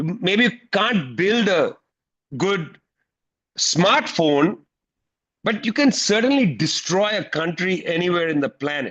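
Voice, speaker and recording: This man has an Indian accent and a high pitch, talking at a fairly slow pace with long, frequent pauses, an animated tone and lively intonation. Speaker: political commentator. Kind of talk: panel talk at an online teach-in. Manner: animated, emphatic.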